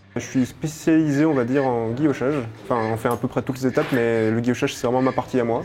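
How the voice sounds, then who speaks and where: Noticeable background noise sits behind a man talking at a very fast pace in a medium pitch. His loudness stays very even and his intonation fairly even. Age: 20s. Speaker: cutler, engraving specialist. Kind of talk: casual self-introduction interview. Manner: hesitant, many fillers.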